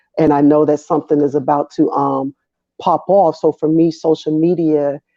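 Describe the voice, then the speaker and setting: With an American accent, a woman talks at a moderate pace in a very deep, low pitch. Her loudness stays very even. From US South, Atlanta, Georgia. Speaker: Air Force veteran and activist. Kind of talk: interview. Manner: energetic.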